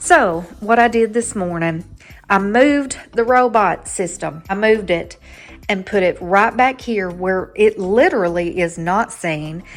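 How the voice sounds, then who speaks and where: Music plays in the background as a woman with a Southern US accent talks at a fairly slow pace with lively intonation. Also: medium pitch for a woman. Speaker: home decor vlogger. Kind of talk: casual chat. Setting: at home. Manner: rambling, jumps between topics; animated.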